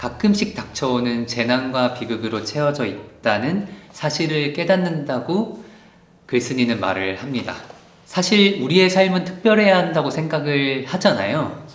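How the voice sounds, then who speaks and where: The voice moves fairly slowly, its pitch swinging very widely. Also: man, fairly high pitch for a man. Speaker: book YouTuber. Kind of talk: casual book review to camera.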